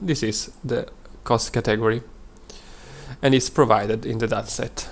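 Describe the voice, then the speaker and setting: A man's medium-pitched voice with an Italian accent, ordinary pitch variation and a moderate pace. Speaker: data science student. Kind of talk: presentation. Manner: halting.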